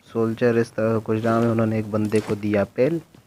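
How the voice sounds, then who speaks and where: Noticeable background noise behind a man at medium pitch. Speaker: gaming YouTuber. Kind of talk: gameplay commentary.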